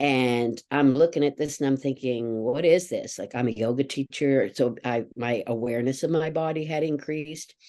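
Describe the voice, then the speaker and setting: With a dark, mellow tone and a very deep, low pitch, a woman speaks at a moderate pace with hardly any pauses. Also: ordinary pitch variation. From eastern Canada, New Brunswick. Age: 60s. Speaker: somatic educator. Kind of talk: interview.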